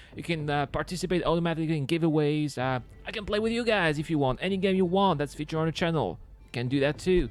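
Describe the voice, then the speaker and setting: In a French accent, a man speaks at a very fast pace in a fairly high pitch with ordinary pitch variation as music plays behind him. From Brittany, France. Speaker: gaming YouTuber. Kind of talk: gameplay commentary and channel outro. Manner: casual, hesitant with fillers.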